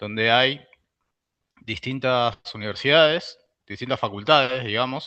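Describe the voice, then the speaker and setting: The man's pitch sits in the medium range. He talks at a fairly slow pace with ordinary pitch variation. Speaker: university researcher and lecturer. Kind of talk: lecture. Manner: hesitant, many fillers.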